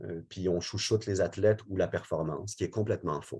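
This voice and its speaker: The man's voice has a dark, mellow tone against a quiet background. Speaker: sport support worker. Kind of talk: webinar presentation.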